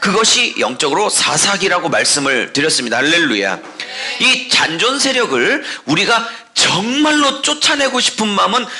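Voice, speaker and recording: A raised, projected voice moves at a fairly slow pace with very wide pitch swings, heard with audible room echo and noticeable background noise. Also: man. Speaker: pastor. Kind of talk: sermon.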